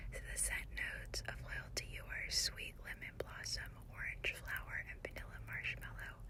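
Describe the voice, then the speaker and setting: Behind this recording, background noise is noticeable. A woman speaks fairly slowly. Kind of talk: whispered ASMR shop-with-me talk. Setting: recorded on location in a store. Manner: whispered, soft-spoken, calming.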